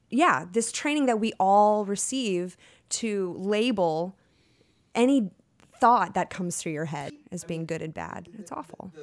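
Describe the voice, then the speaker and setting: Speaking at a very slow pace with lively intonation, a woman leaves long, frequent pauses. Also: big swings in loudness, very clean recording, silent background. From Texas. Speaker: actor. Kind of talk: casual chat.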